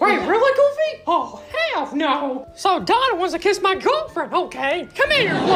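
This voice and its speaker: A put-on character voice speaks at a moderate pace. Background noise is clearly audible. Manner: indignant, mock-angry.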